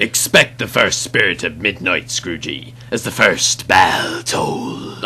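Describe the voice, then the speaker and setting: Over clear background noise, someone speaks in a put-on character voice at a fairly slow pace. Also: man, medium pitch for a man. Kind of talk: pirate speech. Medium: machinima. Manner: theatrical.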